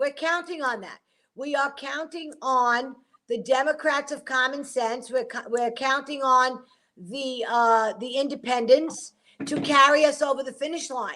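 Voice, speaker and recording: A woman's high-pitched, raised and projected voice, bright and sharp in tone, with big swings in loudness at a fairly slow pace. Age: 60s. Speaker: political commentator. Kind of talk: talk show political discussion. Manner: animated.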